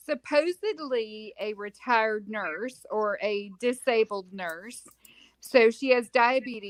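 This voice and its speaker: A woman speaks in a Southern US accent. Her pace is very slow. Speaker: home health clinician. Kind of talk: casual chat.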